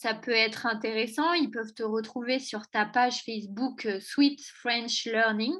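A woman's high voice at a very slow pace, with fairly even intonation and a quiet background. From France, Auvergne. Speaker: podcast host. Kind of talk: interview.

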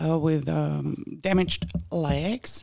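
A woman speaks at a very slow pace in a German accent. Her pitch is very deep and low, with ordinary pitch variation. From Germany. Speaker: guest, waste-reduction enthusiast. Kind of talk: casual chat.

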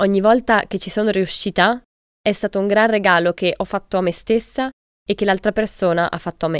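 On a very clean recording with a silent background and a dry, close sound with no echo, a woman at medium pitch speaks at a fairly quick pace with fairly even intonation. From Italy. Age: 20s. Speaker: student, author and podcast co-host. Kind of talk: podcast conversation.

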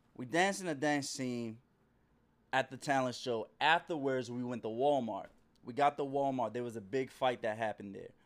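On a very clean recording with a silent background, a man has an unremarkable speaking voice at a medium pitch. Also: ordinary pitch variation, moderate pace. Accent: American. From Maryland, DC and South Carolina. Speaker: author and activist. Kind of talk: interview.

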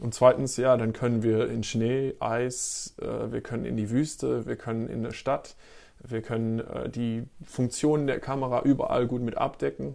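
A man talks at a fairly slow pace with fairly even intonation and a medium pitch. His tone is dark and mellow, on a very clean recording with a silent background. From East Belgium (German-speaking). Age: 30s. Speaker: photographer and filmmaker. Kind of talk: interview. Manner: hesitant with many fillers.

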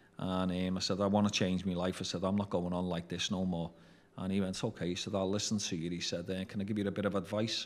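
A man talks very fast with a Liverpool accent. His voice is very deep and low, with monotone, flat intonation. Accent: Scouse (Liverpool). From Liverpool, England. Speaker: former drug dealer. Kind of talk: interview storytelling. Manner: hesitant with fillers.

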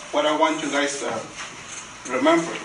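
Over noticeable background noise, a man with a Spanish accent talks at a very slow pace with ordinary pitch variation. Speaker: guest preacher. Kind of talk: sermon. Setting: church. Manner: halting.

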